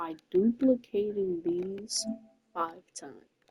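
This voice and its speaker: Music plays behind a soft-spoken woman at a medium pitch. The sound is dry and close, with no echo. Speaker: gamer. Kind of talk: gameplay commentary.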